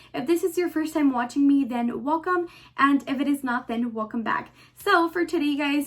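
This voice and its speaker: A woman with an American accent speaks in a high pitch and an upbeat tone. Her pitch variation is ordinary. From Texas. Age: 20s. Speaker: beauty and fashion YouTuber. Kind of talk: casual talk to camera.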